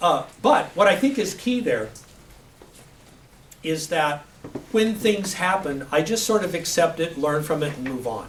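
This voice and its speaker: A man with a high pitch talks at a fairly slow pace, with long, frequent pauses and lively intonation. Noticeable background noise and audible room echo fill the recording. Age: 60s. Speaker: IT professional giving a guest talk. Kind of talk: Q&A talk to a class. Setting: classroom with students. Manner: halting, with many fillers and restarts.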